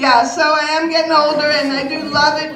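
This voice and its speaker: This woman's moderate pace comes through audible room echo and noticeable background noise. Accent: New York. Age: 70s. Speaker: comedian. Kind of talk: stand-up. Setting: stage with audience.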